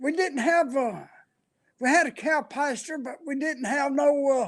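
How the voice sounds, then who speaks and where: With a rural Appalachian accent, a man talks at a fairly slow pace, using an extremely high pitch and ordinary pitch variation. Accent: rural Appalachian Southern US. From US South, western North Carolina (McDowell County). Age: 80s+. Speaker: elderly interviewee. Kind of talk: oral history interview. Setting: senior center. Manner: halting, with frequent fillers.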